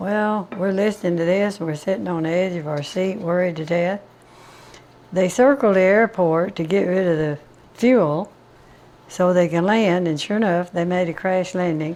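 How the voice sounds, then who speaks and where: The speaker has a Southern US accent and a moderate pace. Pitch variation is ordinary. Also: woman, medium pitch for a woman. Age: 90s. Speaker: home cook. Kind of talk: cooking tutorial; personal anecdote. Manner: casual, homespun.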